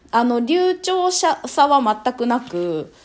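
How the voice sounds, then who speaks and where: A woman with a high voice speaks with very wide pitch swings over noticeable background noise. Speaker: wedding MC and picture-book specialist. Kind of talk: casual interview.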